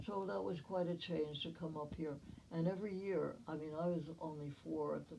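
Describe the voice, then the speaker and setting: A woman with an American accent speaks at a moderate pace, with audible room echo. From New Jersey and New York City. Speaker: family historian. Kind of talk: family history narration. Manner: halting.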